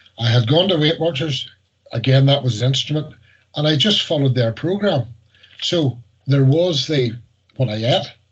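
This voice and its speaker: A man with a Northern Irish accent talks at a moderate pace, with long, frequent pauses. His voice is fairly high in pitch and somewhat breathy, with ordinary pitch variation and very even loudness. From Northern Ireland. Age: 60s. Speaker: weight loss success story. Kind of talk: interview. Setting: video call.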